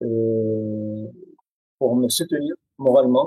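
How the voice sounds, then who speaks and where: With an Arabic accent, a man speaks in a dark, mellow tone, the sound dry and close with no echo. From Syria. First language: Arabic (speaking French). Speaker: writer and poet. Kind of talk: interview testimony. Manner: hesitant, many fillers.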